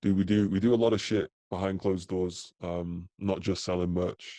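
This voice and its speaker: A man's dark, mellow tone at a moderate pace, dry and close with no echo, over a quiet background. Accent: British. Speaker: crypto merch designer and advisor. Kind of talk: casual interview chat.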